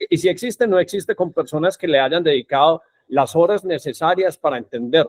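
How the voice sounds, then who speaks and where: Keeping his loudness very even, a high-pitched man speaks at a fairly quick pace. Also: ordinary pitch variation. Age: 50s. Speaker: podcast host. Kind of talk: podcast interview.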